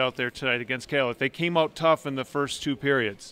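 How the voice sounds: A man talks at a fairly quick pace, his intonation fairly even. His tone is clear and smooth, and fairly bright.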